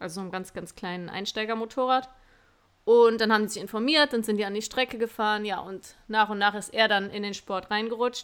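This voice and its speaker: A woman with an ordinary speaking voice talks at a fairly quick pace, fairly high in pitch, with fairly even intonation but big swings in loudness. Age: 20s. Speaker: podcast host, motocross racer and police officer. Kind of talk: interview answers. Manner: casual, chatty.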